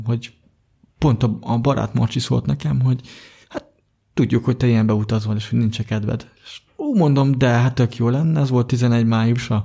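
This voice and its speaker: A man talks at a moderate pace with a medium pitch and fairly even intonation. His voice is somewhat breathy, with a dark, mellow tone. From Hungary, Budapest. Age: 20s. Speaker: blind software developer and athlete. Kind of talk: interview.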